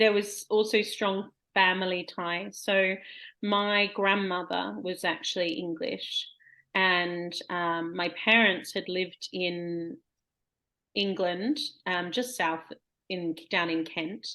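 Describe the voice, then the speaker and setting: At a very slow pace, a woman speaks in an Australian accent with ordinary pitch variation. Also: medium pitch for a woman. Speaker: poet. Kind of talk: casual chat.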